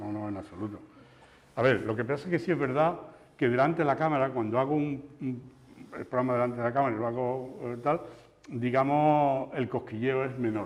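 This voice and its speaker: A man with a strong Andalusian accent talks at a fairly quick pace, at a medium pitch with ordinary pitch variation. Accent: Andalusian, kept strong. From Andalusia, La Luisiana (Seville province). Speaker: TV news presenter and journalist. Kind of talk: interview conversation. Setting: talk before an audience of teachers. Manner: halting, repetitive.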